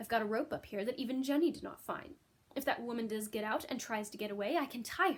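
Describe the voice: Ordinary pitch variation comes through in this plain reading aloud.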